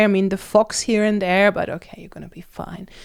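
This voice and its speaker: A woman with a German accent and fairly high pitch speaks at a moderate pace in a monotone, flat intonation. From Germany. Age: 30s. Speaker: nutritionist. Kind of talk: casual vlog monologue.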